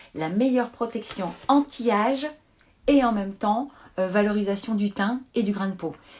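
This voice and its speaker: A woman with a medium pitch and a somewhat breathy voice speaks at a moderate pace with lively intonation. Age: 50s. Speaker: beauty brand expert. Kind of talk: live product demonstration. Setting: live stream from home.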